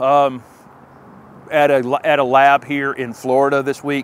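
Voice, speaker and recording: With light background noise, a man's voice comes through dry, with no echo. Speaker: gardening channel host. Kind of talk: casual vlog chat. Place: forest.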